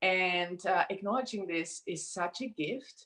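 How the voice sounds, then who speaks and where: With a non-native accent and lively intonation, a woman speaks at a fairly low pitch. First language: not English. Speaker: certified workshop facilitator. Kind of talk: live interview. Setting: live video stream.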